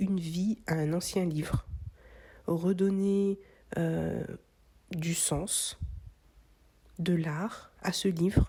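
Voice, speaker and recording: A woman's medium-pitched voice is dark, mellow and somewhat breathy, with a calm tone. Her intonation stays fairly even. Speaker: craft content creator. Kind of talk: reflective voice-over narration.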